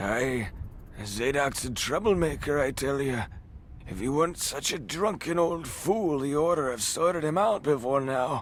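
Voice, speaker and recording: Raspy put-on character voice from a man, fairly high in pitch with lively intonation, at a moderate pace over light background noise. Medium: video game. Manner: gruff, evasive.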